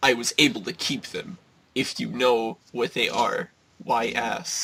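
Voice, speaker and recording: The man uses a put-on character voice. His pitch is medium, and his pace is fairly slow. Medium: read story.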